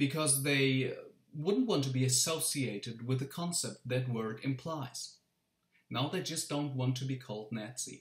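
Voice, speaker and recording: Somewhat breathy, a man's medium-pitched voice moves at a fairly slow pace with ordinary pitch variation. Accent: German. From Germany. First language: German. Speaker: teacher. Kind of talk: casual talk to camera.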